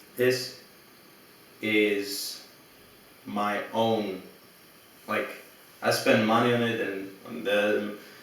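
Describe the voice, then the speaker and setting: Amid noticeable background noise and audible room echo, a man speaks very slowly in a fairly low monotone with flat intonation and long, frequent pauses. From Greece. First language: Greek. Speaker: blogger and video host. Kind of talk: casual talk to camera. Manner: halting, many fillers.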